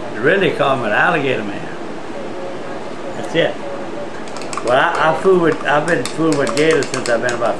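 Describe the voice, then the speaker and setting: Against noticeable background noise, a man speaks at a moderate pace with long, frequent pauses. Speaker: nuisance alligator hunter. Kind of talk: interview answer. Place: home room.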